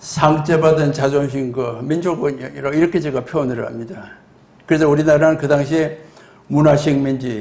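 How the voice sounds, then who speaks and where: With audible room echo, a man talks at a fairly high pitch and fairly even intonation. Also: moderate pace. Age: 80s+. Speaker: retired nuclear scientist, lecturer. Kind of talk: lecture.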